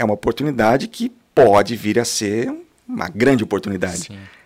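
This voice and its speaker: This man's voice has vocal fry and swings very widely in pitch. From Londrina, Paraná, Brazil. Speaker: franchise owner, entrepreneur. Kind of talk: podcast interview.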